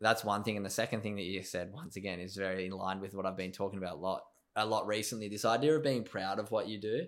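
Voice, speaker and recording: A man with a fairly low pitch talks at a very fast pace, using ordinary pitch variation. The recording is very clean, with a silent background. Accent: Australian. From Australia. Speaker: podcast host. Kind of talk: casual interview chat. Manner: enthusiastic.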